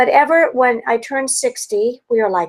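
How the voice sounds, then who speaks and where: Delivered at moderate speed, the talking shows ordinary pitch variation. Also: woman. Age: 60s. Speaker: health educator. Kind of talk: webinar talk. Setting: video call. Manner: animated.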